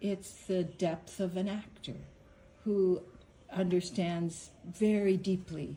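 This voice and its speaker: A woman speaks at a very slow pace. Her tone is dark, mellow and somewhat breathy. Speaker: interviewer.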